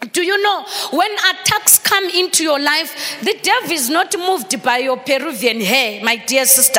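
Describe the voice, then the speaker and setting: The voice has an animated tone and a moderate pace. Noticeable background noise is present. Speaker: pastor. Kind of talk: sermon, preacher in full flow, rousing call-and-response. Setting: church. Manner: animated, exhortative, crowd-engaging; switches between English and Shona.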